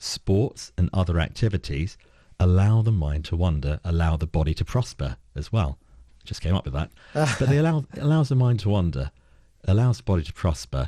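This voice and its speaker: With a London accent, a man speaks at a moderate pace in a very deep, low voice that is dark, mellow and somewhat breathy, making very wide pitch swings over a quiet background with a dry, close sound and no echo. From London (Peckham). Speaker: board director and strategic advisor. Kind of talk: radio interview answer.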